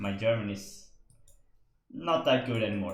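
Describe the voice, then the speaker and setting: A man with a Swedish accent at fairly low pitch and moderate pace, with audible room echo. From Sweden. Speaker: esports caster. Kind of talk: live commentary. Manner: hesitant, many fillers.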